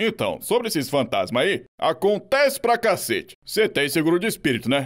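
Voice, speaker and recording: This is a man doing a cartoonish character voice, high in pitch, at a moderate pace. His loudness stays very even. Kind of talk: cartoon fandub dialogue.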